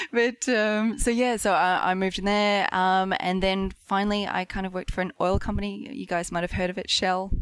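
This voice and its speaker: A woman speaks with an Australian accent. She moves at a fairly quick pace with hardly any pauses. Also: medium pitch for a woman, very clean recording, silent background. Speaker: marketing specialist. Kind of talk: casual chat. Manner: animated.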